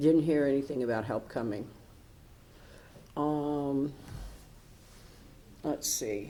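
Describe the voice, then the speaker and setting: Speaking very slowly with long, frequent pauses, a woman with an American accent uses a very deep, low pitch, ordinary pitch variation and a dark, mellow tone, with audible room echo. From Michigan. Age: 70s. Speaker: retired professor, storm survivor. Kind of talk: oral history interview. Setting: city hall recording room. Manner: talkative.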